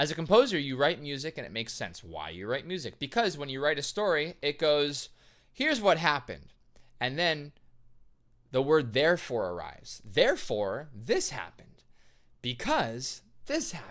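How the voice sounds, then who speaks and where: Against a silent background on a very clean recording, a man with a fairly high voice sounds animated and uses vocal fry. His pitch swings very widely and his loudness rises and falls a lot. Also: moderate pace. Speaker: composer and vocalist reacting to musicals. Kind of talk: reaction video commentary.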